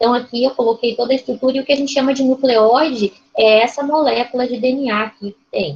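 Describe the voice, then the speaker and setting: A woman speaks with a Brazilian accent and a high voice. Her pace is fairly quick. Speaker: lecturer. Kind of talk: lecture. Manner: fast.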